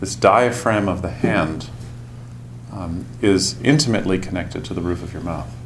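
A man's gentle voice sits at a fairly low pitch. Noticeable background noise is present. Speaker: meditation teacher. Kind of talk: guided meditation. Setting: silent retreat in meditation hall. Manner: slow, calm, soft-spoken; gentle, deliberate, pausing often.

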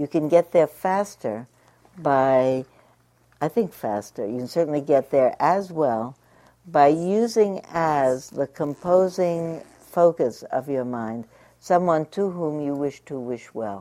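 Very slowly, a woman with an American accent speaks in a very deep, low pitch, her dark, mellow tone shaped by lively intonation. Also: very clean recording, silent background. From New York. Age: 60s. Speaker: meditation teacher. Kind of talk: dharma talk.

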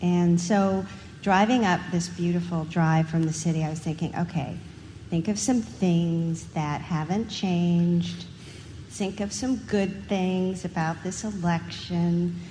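A woman's somewhat breathy voice, fairly low in pitch, with a dark, mellow tone. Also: ordinary pitch variation, fairly slow pace. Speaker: meditation participant. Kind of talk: personal sharing.

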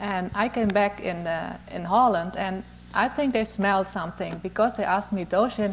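Using vocal fry, a woman of medium pitch talks at a moderate pace with fairly even intonation. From Europe. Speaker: meditation student. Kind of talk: personal tribute.

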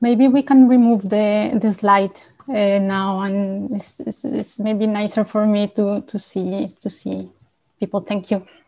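The tone is dark and mellow. It comes across somewhat breathy. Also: woman, medium pitch for a woman, fairly slow pace. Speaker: retreat staff member. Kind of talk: reading an announcement about donations. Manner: formal, measured.

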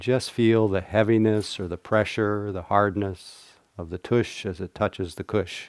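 A plain, everyday voice from a man, fairly low in pitch, at a moderate pace, with fairly even intonation, big swings in loudness and a dry, close sound with no echo in a very clean recording with a silent background. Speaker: meditation teacher. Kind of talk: guided meditation with dharma talk. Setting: meditation hall with live audience. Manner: warm, humorous, laughs often.

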